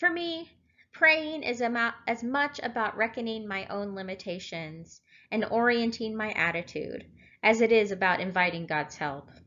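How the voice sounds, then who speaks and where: In an American accent, a woman with a fairly high pitch talks at a fairly slow pace, her pitch swinging very widely. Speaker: lay preacher. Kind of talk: sermon at morning prayer. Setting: church service.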